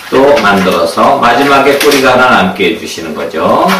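A man at a fairly slow pace, with audible room echo and loud background noise. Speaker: balloon art instructor. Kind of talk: tutorial. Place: home room.

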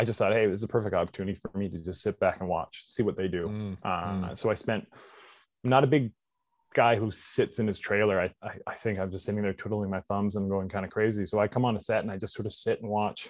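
A man with a Canadian accent at a very fast pace, fairly low in pitch with fairly even intonation, dry and close with no echo over a quiet background. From Canada, British Columbia (Squamish). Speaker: actor and stunt performer. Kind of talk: interview.

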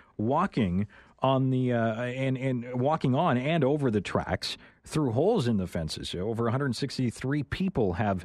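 The recording is dry with no echo and a quiet background as a man speaks at a moderate pace with lively intonation. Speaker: radio host. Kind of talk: radio interview hosting. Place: studio.

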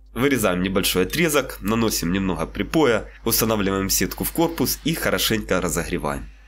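A man talks at a fairly quick pace with hardly any pauses and very even loudness. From Ukraine. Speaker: DIY maker, video blogger. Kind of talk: scripted voice-over narration of a workshop build. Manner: formal.

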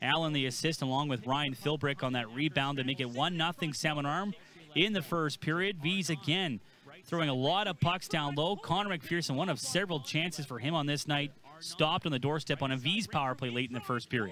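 On a very clean recording with a silent background, a man delivers a bright, sharp, energetic tone at a fairly high pitch and fairly quick pace, with ordinary pitch variation. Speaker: play-by-play commentator. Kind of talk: sports commentary. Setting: highlights voiceover. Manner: fast, energetic play-by-play delivery; polished, broadcast-style.

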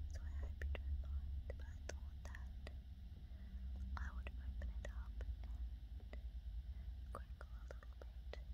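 A woman at a very slow pace with long, frequent pauses. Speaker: ASMR creator. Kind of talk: ASMR puzzle sorting. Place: home room. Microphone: phone near.

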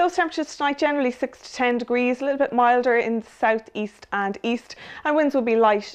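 In a quiet background, a woman with a high voice speaks at a fairly quick pace. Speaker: weather forecaster. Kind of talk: weather forecast, scripted and read out as a plain, factual bulletin. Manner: measured, even and businesslike, steady pace. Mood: calm, friendly. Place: studio. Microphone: lapel.

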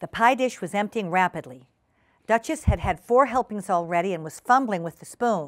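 A natural reading voice comes through over a quiet background.

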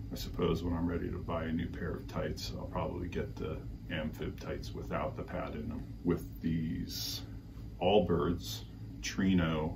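Noticeable background noise sits behind a man's very deep, low voice. He speaks at a fairly slow pace. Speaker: cycling gear reviewer. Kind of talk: product review vlog. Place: home room. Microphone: camera far.

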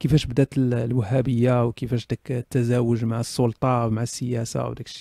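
A man's dark, mellow, somewhat breathy voice at a medium pitch and fairly quick pace, in a very clean, dry, close recording with no echo and a silent background. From Morocco. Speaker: online talk show host. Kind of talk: casual live chat answering audience questions. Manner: animated. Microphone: professional stereo USB mic.

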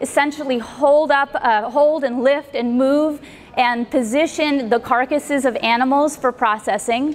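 High-pitched speech from a woman, fairly even in intonation. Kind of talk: conference talk. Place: hall. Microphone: handheld.

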